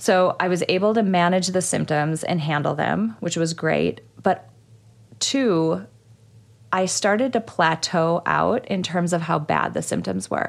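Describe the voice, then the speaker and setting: A woman speaks at a fairly slow pace with very even loudness. The recording is very clean, with a silent background. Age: 30s. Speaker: psychologist and podcast host. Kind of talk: casual chat.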